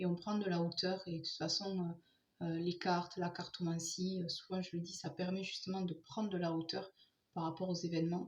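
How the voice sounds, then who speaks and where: Soft-spoken and somewhat breathy, the voice moves at a moderate pace with monotone, flat intonation. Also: woman, fairly low pitch for a woman. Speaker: tarot card reader. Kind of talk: tarot reading for viewers.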